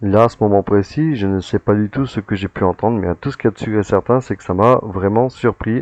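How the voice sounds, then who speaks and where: His pitch fairly low and his intonation fairly even, a man speaks with hardly any pauses and big swings in loudness. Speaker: paranormal investigator. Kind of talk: recorded commentary on footage. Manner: hesitant, many fillers.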